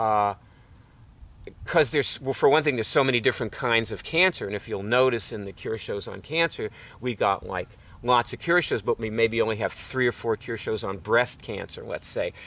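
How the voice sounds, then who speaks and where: Noticeable background noise fills the recording. Over it, a man talks in a medium-pitched voice. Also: ordinary pitch variation, moderate pace. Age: 60s. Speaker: online health show host. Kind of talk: casual monologue to camera. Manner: halting, many fillers and restarts.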